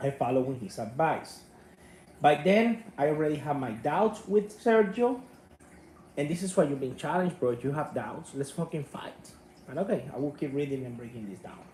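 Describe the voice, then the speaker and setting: Speaking with a Spanish accent, a man has a dark, mellow tone and a fairly high pitch that moves in very wide swings. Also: big swings in loudness. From Cuba. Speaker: martial arts YouTuber. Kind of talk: commentary reading out an email. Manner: passionate, loud.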